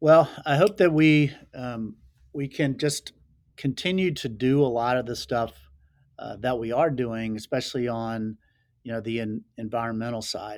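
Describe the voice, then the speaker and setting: A medium-pitched man with a Southern US accent on a very clean recording with a silent background. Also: ordinary pitch variation, moderate pace. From North Carolina, rural Laurinburg. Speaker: sunglasses company founder. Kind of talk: podcast interview.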